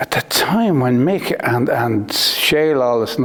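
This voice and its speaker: There is noticeable background noise. A man speaks at a medium pitch with an Irish accent. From Ireland, Naas, County Kildare. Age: 60s. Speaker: racing car manufacturer. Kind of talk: interview. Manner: halting.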